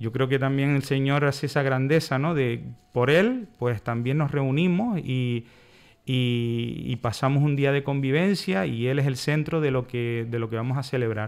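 Pitch rises and falls in an ordinary way. The delivery is fairly slow. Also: man, medium pitch for a man. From Canary Islands. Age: 40s. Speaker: church brotherhood member. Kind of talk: radio interview. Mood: calm, reflective. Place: studio. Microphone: studio mic.

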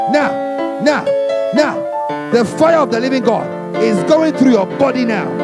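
The pace of this man's speech is fairly slow. Loud music plays in the background. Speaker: deliverance preacher / prayer minister. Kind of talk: charismatic deliverance prayer / spiritual warfare preaching. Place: church. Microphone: handheld.

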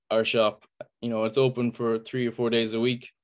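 A medium-pitched man with an Irish accent against a quiet background. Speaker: farmer; webinar panelist. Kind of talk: presentation. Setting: video call. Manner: passionate. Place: home room. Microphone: video call.

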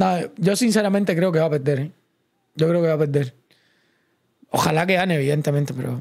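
Against a quiet background, a man speaks at a fairly high pitch and fairly quick pace with ordinary pitch variation. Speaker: streamer commentating live fights. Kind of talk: live sports commentary, casual watch-along stream. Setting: online livestream. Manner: animated, fast, chatty, excitable; opinionated, conversational, addresses chat directly. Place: home room. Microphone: studio mic.

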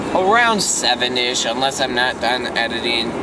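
Background noise is noticeable here. Over it, a man talks. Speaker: vlogger. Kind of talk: casual vlog chat. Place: car. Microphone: phone near.

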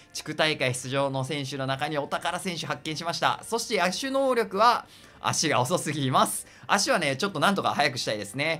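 A man with a fairly high pitch and very wide pitch swings, at a fairly quick pace, music in the background. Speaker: gaming YouTuber. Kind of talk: game commentary. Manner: animated.

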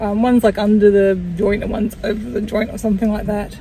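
A woman speaks at a moderate pace, the sound dry with no echo and light noise in the background. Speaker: vlogger. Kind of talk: casual vlog chat. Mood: relaxed, a bit rambling. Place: car. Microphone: phone near.

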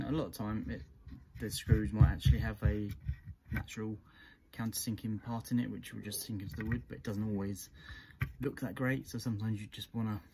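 Over light background noise, a man speaks at a moderate pace in a somewhat breathy voice with a fairly low pitch and a dark, mellow tone. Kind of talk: tutorial. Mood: relaxed, friendly. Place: garden. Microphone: phone near.

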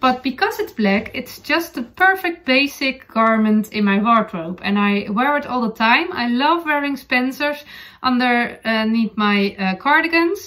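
A woman with a Dutch accent speaks at a fairly slow pace with few pauses, in a fairly high pitch. Her tone is bright and sharp, and her intonation is lively.

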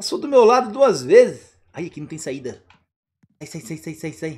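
Long pauses come often as the talking proceeds at a fairly slow pace. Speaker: parent co-host of kids' gaming channel. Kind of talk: gaming commentary. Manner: animated.

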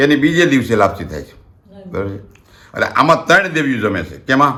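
There is vocal fry in this man's bright, sharp tone at medium pitch. Audible room echo surrounds his voice. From Gujarat, Rajkot district (Saurashtra). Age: 60s. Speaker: community elder and storyteller. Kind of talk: oral history storytelling. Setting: at home.

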